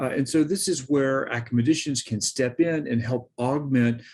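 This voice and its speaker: A man speaks in an ordinary speaking voice at a moderate pace. His pitch varies in an ordinary way, and the background is quiet. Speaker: professor. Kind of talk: lecture. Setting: recorded presentation with screen share.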